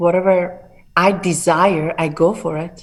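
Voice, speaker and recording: A woman with an Iranian accent speaks at a fairly low pitch with fairly even intonation. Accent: Iranian (Persian) accent in English. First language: Persian. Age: 40s. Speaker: bodybuilder and fitness entrepreneur. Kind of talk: interview.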